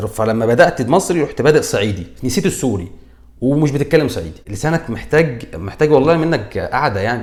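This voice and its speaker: In a Cairo accent, a man speaks at a fairly high pitch and a moderate pace. His intonation is lively, and vocal fry runs through his voice. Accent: Egyptian Arabic (Cairene). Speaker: comedian, YouTuber. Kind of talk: comedic commentary. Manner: animated; halting, with self-corrections.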